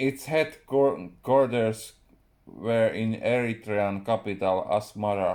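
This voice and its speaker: A man with a Finnish accent speaks very slowly at a medium pitch, with ordinary pitch variation. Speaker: writer. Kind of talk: reading aloud. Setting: live stream.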